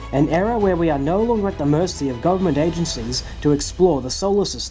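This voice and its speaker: An enthusiastic tone at a fairly quick pace, with music in the background. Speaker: YouTube space commentator. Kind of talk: video commentary narration.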